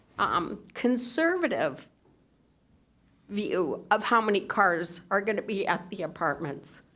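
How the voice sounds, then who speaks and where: Woman speaking at a very slow pace, in a very clean recording with a silent background. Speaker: public commenter. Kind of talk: public comment with slides. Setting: city council meeting.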